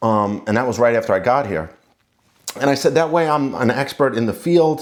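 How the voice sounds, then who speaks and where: A man speaks in a New York accent at a medium pitch. His pace is fairly quick and his intonation lively. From New York City, Queens. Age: 40s. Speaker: lawyer and contractor, channel owner. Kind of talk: casual talk to camera.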